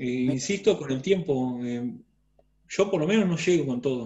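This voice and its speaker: A somewhat breathy man's voice, fairly high in pitch, with lively intonation. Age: 40s. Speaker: student. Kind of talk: casual discussion in class. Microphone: video call.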